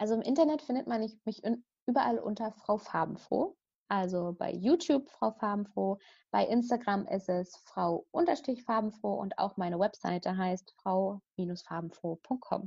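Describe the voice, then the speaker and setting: Over a quiet background, a woman with a medium pitch and a dark, mellow, somewhat breathy tone talks at a moderate pace with lively intonation. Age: 30s. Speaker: meditation teacher and coach for young mothers. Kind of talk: casual interview.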